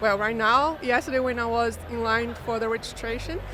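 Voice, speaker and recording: With music in the background, a woman talks at a moderate pace in a Brazilian Portuguese accent. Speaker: mortgage broker. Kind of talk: interview. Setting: live industry event.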